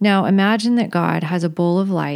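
This is a woman speaking. She has a normal speaking voice. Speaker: movement and meditation leader. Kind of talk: guided meditation. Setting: recorded podcast session. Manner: slow, calm, soothing; gentle, instructive pacing.

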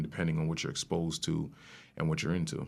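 A New York accent in a very clean recording with a silent background. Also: man. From New York, Rockland County. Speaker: rapper and music producer. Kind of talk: casual chat.

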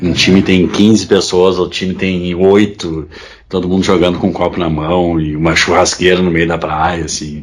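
A man with a very deep, low pitch talks in a flat monotone over noticeable background noise. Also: moderate pace. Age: 30s. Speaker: football fan. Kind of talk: casual chat.

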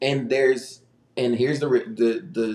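His accent is American. The man's voice sits at a medium pitch. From Texas, Houston. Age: 20s. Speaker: pastor's kid, young adult ministry leader. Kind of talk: casual chat. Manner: talkative.

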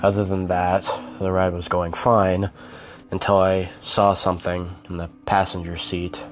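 Over music in the background, a man speaks in a very deep, low pitch with monotone, flat intonation. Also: fairly slow pace. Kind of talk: horror story narration, read aloud in first person. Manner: dramatic, moody storytelling pace.

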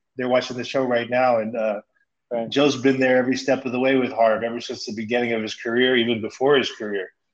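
Talking at a very fast pace, a man with a Californian accent uses a medium pitch. His intonation is monotone and flat. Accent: Californian American English. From Stockton, California. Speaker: former pro basketball player. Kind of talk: casual chat.

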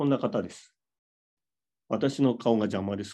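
A man speaks against a quiet background. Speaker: business speaker and livestream host. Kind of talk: casual livestream chat. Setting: hotel room livestream.

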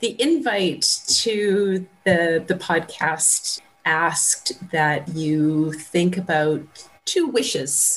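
Over noticeable background noise, a woman talks very slowly at a fairly low pitch, with ordinary pitch variation and very even loudness. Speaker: radio maker and project mentor. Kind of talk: casual group conversation, facilitating. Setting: video call.

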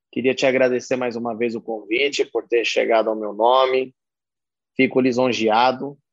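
Recorded dry and close with no echo, a man talks at a medium pitch. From São Paulo state, Brazil. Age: 40s. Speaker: concert production manager. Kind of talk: interview.

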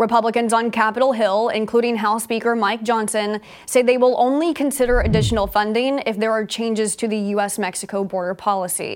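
A woman has an unremarkable speaking voice at a fairly high pitch. She talks at a fairly quick pace with fairly even intonation. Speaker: news anchor. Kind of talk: studio newsreading, crisp and polished broadcast delivery. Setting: studio. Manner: formal, steady, brisk and authoritative; even, neutral tone with little emotion.

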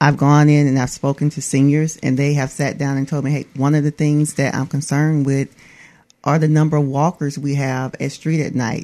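A woman's very deep, low voice with a dark, mellow tone, flat monotone intonation and an Alabama accent. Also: moderate pace. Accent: US Southern (Alabama). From Atmore, Alabama. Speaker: police public information officer. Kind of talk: radio interview.

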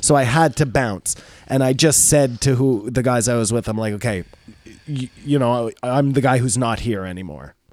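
With a Canadian accent, a man has a plain, everyday voice at a medium pitch, speaking at a moderate pace with ordinary pitch variation. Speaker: podcast co-host. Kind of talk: casual chat.

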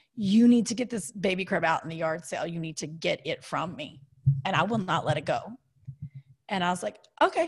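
With an American accent, a woman talks at a fairly quick pace in a medium pitch with ordinary pitch variation. Her voice is somewhat breathy, and she takes long, frequent pauses. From Kentucky. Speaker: TV host, comedian and designer. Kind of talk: casual interview. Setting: video call.

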